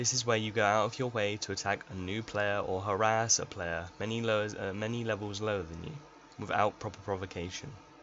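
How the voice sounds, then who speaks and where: A man at a moderate pace with a fairly low pitch. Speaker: gaming tutorial creator. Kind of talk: tutorial. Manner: monotone.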